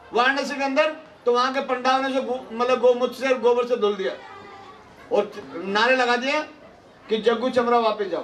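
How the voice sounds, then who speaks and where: Over crowd noise in the background, a man with an extremely high pitch talks at a moderate pace with fairly even intonation and long, frequent pauses. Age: 60s. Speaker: party politician. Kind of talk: political rally speech. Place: hall. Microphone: handheld.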